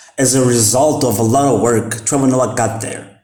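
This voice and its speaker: Audible room echo surrounds a voice moving at a moderate pace with ordinary pitch variation. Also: man. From Mozambique. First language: Portuguese. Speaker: vlogger. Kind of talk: casual talk to camera. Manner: halting, many fillers.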